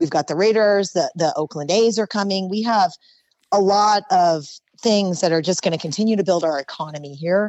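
Her voice sits at a medium pitch for a woman, moving at a moderate pace with ordinary pitch variation. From Southern California, Oxnard. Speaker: YouTuber and monster truck driver. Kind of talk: casual interview.

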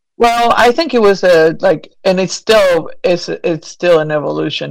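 The speaker is a woman with a Spanish accent. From Argentina. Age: 40s. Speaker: artist. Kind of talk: casual chat.

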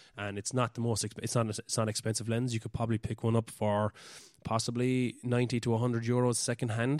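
A man's medium-pitched voice with a Cork accent, at a very fast pace in a monotone, flat intonation, dry and close with no echo in a very clean recording with a silent background. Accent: Cork Irish. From Ireland, West Cork. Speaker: podcaster and amateur photographer. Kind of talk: casual solo monologue. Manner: halting, many fillers.

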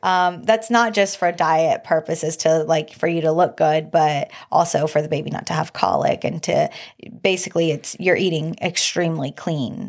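Speaking at a moderate pace, a woman with an ordinary speaking voice sits fairly low in pitch and shows ordinary pitch variation. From Mexican-American family. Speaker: wife and mother. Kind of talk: casual chat.

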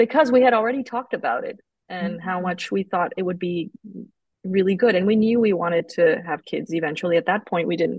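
The speech moves at a fairly quick pace and sounds somewhat breathy. Pitch variation is ordinary. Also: woman. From Colombia. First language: Spanish. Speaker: oncologist and researcher. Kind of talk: casual interview. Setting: evening recording.

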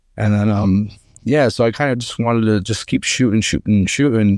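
With an American accent, the words come out at a moderate pace. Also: man. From northeastern Pennsylvania. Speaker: competitive trapshooter. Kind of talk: casual interview. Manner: hesitant, many fillers.

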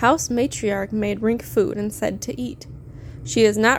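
A natural reading voice comes through here. The intonation is fairly even.

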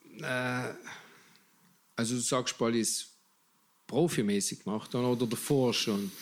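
Long, frequent pauses break up a man's speech. His medium pitch moves at a fairly slow pace. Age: 60s. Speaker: magician and clown. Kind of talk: casual interview chat.

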